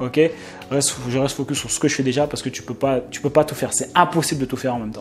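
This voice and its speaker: Over background music, a man talks very fast in a fairly high pitch with an animated tone. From France, Paris suburbs (Essonne). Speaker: online business coach / YouTuber. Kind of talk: casual vlog talk to camera, sales pitch. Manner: animated, repetitive filler-heavy. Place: home room. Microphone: lapel.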